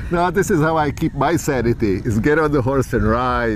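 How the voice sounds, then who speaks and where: With a Czech accent and vocal fry, a man talks at a moderate pace with lively intonation. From Czech Republic, Prague. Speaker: psychologist, trail rider. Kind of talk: casual interview.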